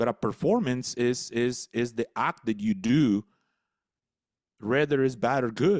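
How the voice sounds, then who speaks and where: With a Spanish accent, the speaker leaves long, frequent pauses, keeping ordinary pitch variation and very even loudness in a very clean, dry, close recording with a silent background and no echo. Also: man, medium pitch for a man. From El Salvador. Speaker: business coach and speaker. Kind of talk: radio interview. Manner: halting, repeats words.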